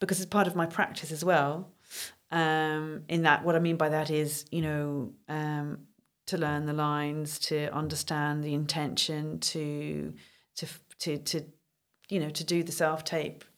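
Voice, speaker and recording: On a very clean recording with a silent background, a woman with a very deep, low pitch speaks in a calm tone at a fairly slow pace with monotone, flat intonation. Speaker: actor and coach. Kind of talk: casual interview chat.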